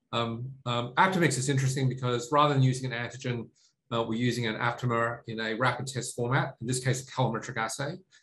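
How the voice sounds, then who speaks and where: With an Australian accent, a man talks at a very fast pace, his medium-pitched voice keeping a fairly even intonation. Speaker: tech company CEO. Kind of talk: interview. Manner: halting, many fillers.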